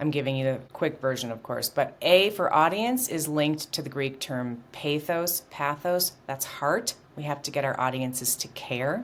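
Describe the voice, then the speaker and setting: A woman speaks in a very deep, low voice with lively intonation, at a moderate pace. She hardly pauses, and there is noticeable background noise. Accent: American. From US Midwest, outside Chicago. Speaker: communication coach. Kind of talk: interview. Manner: animated.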